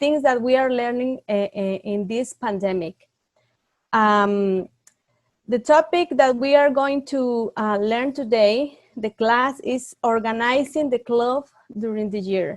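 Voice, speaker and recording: At a fairly slow pace, a woman with a Spanish accent speaks in a high voice with ordinary pitch variation, the sound dry and close with no echo. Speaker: youth club leader. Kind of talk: online training class. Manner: halting.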